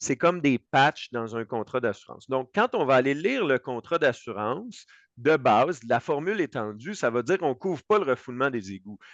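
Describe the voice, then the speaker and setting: Lively intonation marks this voice with a Quebec accent, recorded with a dry, close sound with no echo. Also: man. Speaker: insurance broker. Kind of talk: expert panel discussion. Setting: web radio show. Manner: fast.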